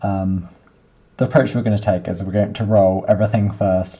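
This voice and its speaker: Quietly, a man speaks at a fairly low pitch with fairly even intonation. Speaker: software developer. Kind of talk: coding tutorial screencast. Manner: monotonous; quiet, low volume.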